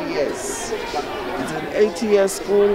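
A woman talks over crowd noise in the background. The sound is dry, with no echo. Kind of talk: interview answer. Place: street. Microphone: handheld.

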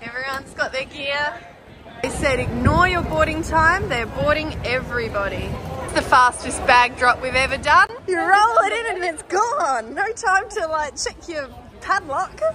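A woman's high, bright, sharp voice at a fairly slow pace, lively in intonation, with faint crowd noise and faint background noise behind it

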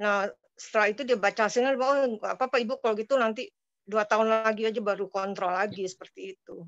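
At a very fast pace, a woman with a fairly high pitch speaks in fairly even intonation, the sound dry with no echo and the background quiet. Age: 50s. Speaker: participant. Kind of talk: question and answer. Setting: video call. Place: home room. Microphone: video call.

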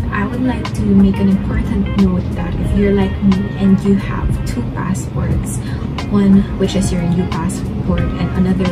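Over clear music in the background, a woman talks at a fairly slow pace with ordinary pitch variation. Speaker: travel vlogger. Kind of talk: tutorial. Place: home room.

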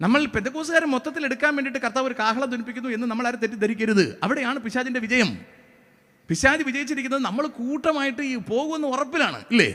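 Projected and raised, a man's extremely high voice has a bright, sharp tone and ordinary pitch variation. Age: 40s. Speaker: pastor. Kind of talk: sermon.

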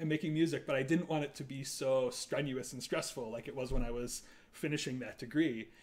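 With an American accent, a man speaks in a plain, everyday voice, fairly high-pitched and fairly quick, with ordinary pitch variation. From US Midwest. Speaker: composer. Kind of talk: casual chat. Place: home room. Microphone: camera far.

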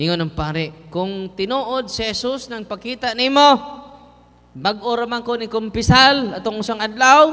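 A man raises and projects his voice at a high pitch, talking at a fairly slow pace over a quiet background. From Visayas, Philippines. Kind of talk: sermon. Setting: church. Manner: animated; humorous, code-switching. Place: church. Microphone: handheld.

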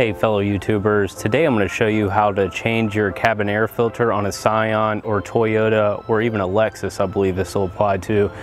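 Over clear music in the background, a man talks at a moderate pace and fairly low pitch, with a dry sound and no echo. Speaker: DIY car maintenance host. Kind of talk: tutorial. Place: open country. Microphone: lapel.

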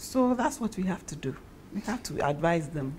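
A woman's fairly low, dark, mellow, somewhat breathy voice at a moderate pace, with very wide pitch swings. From Ghana. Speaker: actress. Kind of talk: interview.

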